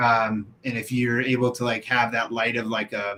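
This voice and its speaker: A man talks at a moderate pace. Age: 30s. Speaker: window cleaner and show host. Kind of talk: casual live-stream chat. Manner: casual, animated.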